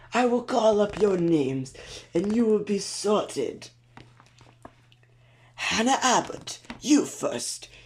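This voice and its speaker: In a put-on character voice, the speaker sounds wheezy and strained at a fairly high pitch. The pace is fairly slow, broken by long, frequent pauses. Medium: read story. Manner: pompous announcing.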